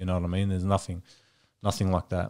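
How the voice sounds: Speaking fast in a flat monotone, a man uses a low-pitched, slightly mellow voice.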